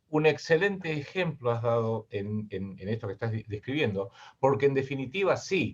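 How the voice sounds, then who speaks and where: A somewhat breathy man with a Rioplatense accent, medium pitch, lively intonation, and a moderate pace. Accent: Argentine Spanish (rioplatense, voseo). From Argentina. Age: 60s. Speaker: geopolitical analyst and writer. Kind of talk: interview.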